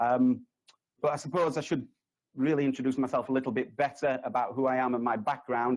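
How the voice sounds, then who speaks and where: A man with a Yorkshire accent speaks at a fairly quick pace and a medium pitch. His loudness stays very even, and his intonation is fairly even. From Yorkshire, northern England. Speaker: resilience consultant, conference speaker. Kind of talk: conference presentation. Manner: hesitant, many fillers.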